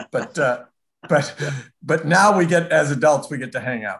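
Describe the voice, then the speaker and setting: This man has an American accent and a fairly high, somewhat breathy voice. His intonation is lively. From Minnesota (Minneapolis area). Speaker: journalist and interviewer. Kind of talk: interview conversation. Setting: video call.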